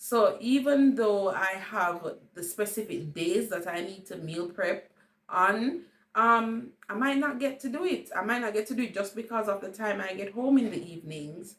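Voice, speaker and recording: In a Jamaican accent, a woman talks at a moderate pace with a fairly high pitch and big swings in loudness. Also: lively intonation. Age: 30s. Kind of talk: casual talk to camera.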